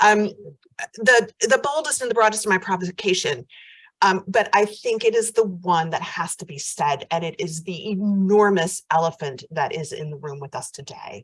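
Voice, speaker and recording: Somewhat breathy, a woman with an American accent speaks at medium pitch and a moderate pace, with lively intonation and big swings in loudness. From United States. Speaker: professor. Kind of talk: conference keynote. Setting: hybrid conference. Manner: hesitant fillers.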